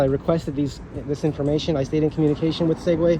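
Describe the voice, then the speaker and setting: A man's fairly high voice at a very fast pace, fairly even in intonation, with noticeable background noise. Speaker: scooter reviewer. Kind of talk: unboxing video.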